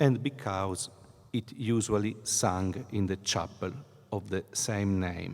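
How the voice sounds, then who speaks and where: A man with an Italian accent, fairly low in pitch, at a very slow pace. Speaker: priest and choir director. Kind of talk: conference talk. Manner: halting.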